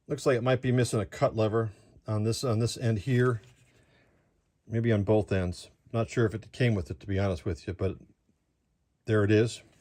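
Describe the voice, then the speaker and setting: A man's dark, mellow tone at a fairly low pitch, with ordinary pitch variation and long, frequent pauses, on a very clean recording with a silent background. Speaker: model train hobbyist streamer. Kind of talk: live stream product walkthrough. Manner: fast.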